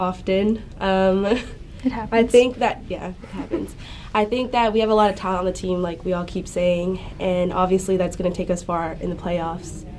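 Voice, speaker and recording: A woman at a moderate pace, fairly even in intonation, over light background noise. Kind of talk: interview answer. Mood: relaxed, laughing. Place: studio.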